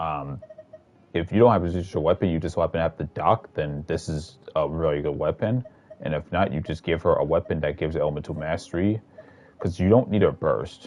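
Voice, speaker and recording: A man talks with a very deep, low pitch. His pitch varies in an ordinary way. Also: fairly quick pace. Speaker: gaming streamer. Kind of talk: live stream chat with viewers. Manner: quiet, trying not to talk loud; casual, filler-heavy.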